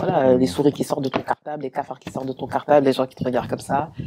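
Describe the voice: The speech comes at a very fast pace. The tone is dark and mellow, with a slightly husky edge. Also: man.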